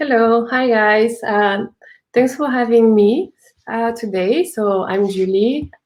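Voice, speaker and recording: A woman with a French accent, fairly high-pitched, at a very slow pace with ordinary pitch variation. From France. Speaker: UX designer and entrepreneur. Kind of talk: live talk interview.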